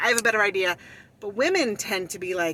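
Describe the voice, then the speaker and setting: The woman's voice sits at a medium pitch and has a bright, sharp tone. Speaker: vlogger. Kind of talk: casual monologue.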